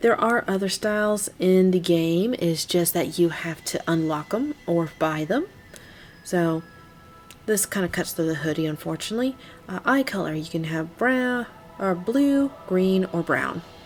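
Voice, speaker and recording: The speaker talks at a fairly slow pace with lively intonation while music plays in the background. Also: woman, medium pitch for a woman. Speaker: gaming video creator. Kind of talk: let's play commentary. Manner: casual.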